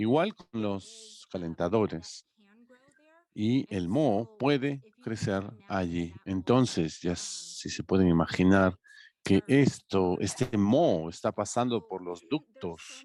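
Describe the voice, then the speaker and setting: In a dry, close sound with no echo, a man with a fairly low pitch talks at a very slow pace with lively intonation. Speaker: workshop presenter on healthy housing. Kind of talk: educational workshop presentation.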